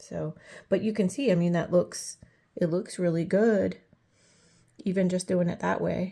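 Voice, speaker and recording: A woman talks at a fairly slow pace with a dark, mellow tone and vocal fry. Her pitch is fairly low, with ordinary variation. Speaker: coloring hobbyist YouTuber. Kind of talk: casual tutorial-style show and tell. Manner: casual with many fillers.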